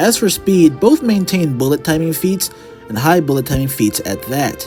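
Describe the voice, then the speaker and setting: The man's intonation is lively. Behind him, music is playing. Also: moderate pace. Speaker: YouTuber. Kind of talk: commentary narration.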